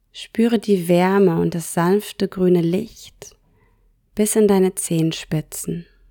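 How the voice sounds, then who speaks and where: Calm and gentle, a woman's medium-pitched voice with a dark, mellow tone moves at a very slow pace with fairly even intonation, recorded very cleanly over a silent background. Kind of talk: guided meditation. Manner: slow, soft-spoken, soothing; calm, gentle, unhurried with long pauses.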